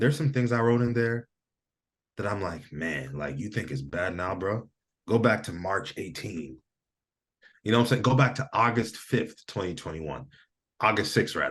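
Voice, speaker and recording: An animated man with an American accent speaks at a fairly low pitch with lively intonation and vocal fry. Long pauses come often. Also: moderate pace. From Michigan, US. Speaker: entrepreneur and physical therapist. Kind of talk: casual chat.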